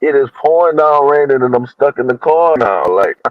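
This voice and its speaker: The speaker is a man with a fairly high pitch. His pace is moderate. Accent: Louisiana. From Louisiana. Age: young. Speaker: panel regular on a bible study show. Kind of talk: casual chat. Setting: in a car. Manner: halting.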